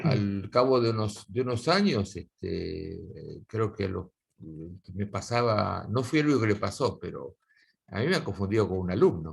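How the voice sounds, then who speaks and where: At a moderate pace, a man talks in a fairly low, somewhat breathy voice with ordinary pitch variation. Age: 60s. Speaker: guitar teacher. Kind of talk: casual interview conversation. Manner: halting, many fillers.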